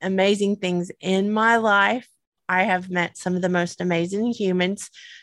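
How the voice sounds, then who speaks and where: With a Southern US accent, a woman speaks at a medium pitch in a very clean recording with a silent background. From US South. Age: 50s. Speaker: podcast co-host. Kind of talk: casual chat. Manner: giggly.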